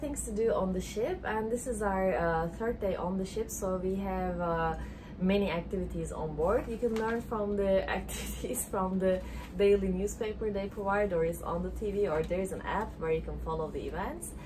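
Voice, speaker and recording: Noticeable background noise can be heard. A woman speaks at a moderate pace. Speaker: travel vlogger. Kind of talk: casual vlog chat. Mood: relaxed, cheerful. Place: home room. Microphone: phone near.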